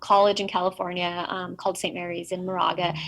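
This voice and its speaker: A woman is talking at a moderate pace. Her pitch is medium. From Mexico, raised in US from age five. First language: Spanish. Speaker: keynote speaker, blindness advocate. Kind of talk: keynote speech. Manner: frequent 'um' fillers, conversational.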